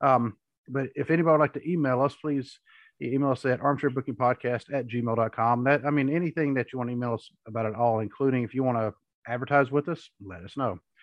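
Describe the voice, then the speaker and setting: A man talks very fast at a medium pitch, with his pitch shifting in an ordinary way. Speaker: podcast host. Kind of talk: casual chat.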